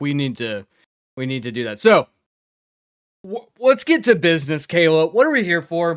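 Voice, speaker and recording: At a moderate pace and in an American accent, the speaker sounds animated, with very wide pitch swings, big shifts in loudness, and long, frequent pauses. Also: man, fairly high pitch for a man. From US South. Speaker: gaming YouTuber. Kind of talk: casual chat.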